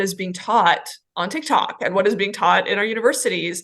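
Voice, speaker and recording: In a normal speaking voice with an American accent, a woman talks at a moderate pace and medium pitch with ordinary pitch variation against a quiet background. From Los Angeles, raised from early childhood after fleeing Iran. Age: 40s. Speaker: doctor and business owner. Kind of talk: interview testimony.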